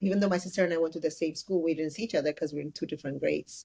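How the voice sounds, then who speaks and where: A woman with an Ethiopian accent talks very fast, her intonation fairly even. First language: Amharic. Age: 30s. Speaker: entrepreneur. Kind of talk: interview.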